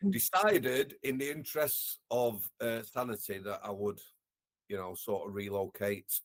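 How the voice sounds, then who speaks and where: A man speaks with a Yorkshire accent. His medium pitch carries lively intonation. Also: fairly slow pace. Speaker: former prison officer, care worker. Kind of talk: interview, personal storytelling.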